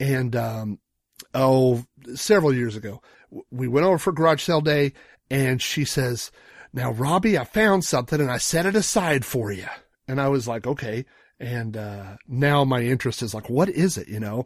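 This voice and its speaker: A man with a normal speaking voice, medium in pitch, moderate in pace, with lively intonation. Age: 40s. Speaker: podcast co-host. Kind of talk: casual chat.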